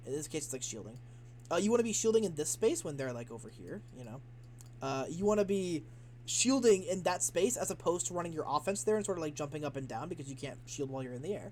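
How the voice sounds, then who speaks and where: Talking at a very fast pace, the speaker sounds somewhat breathy and animated, with very wide swings in pitch. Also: man, fairly high pitch for a man. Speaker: video game coach. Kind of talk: gameplay VOD review commentary.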